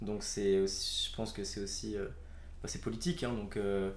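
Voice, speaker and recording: A man speaks at a very slow pace with lively intonation, and the room echo is audible. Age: young. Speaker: podcast guest. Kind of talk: casual chat.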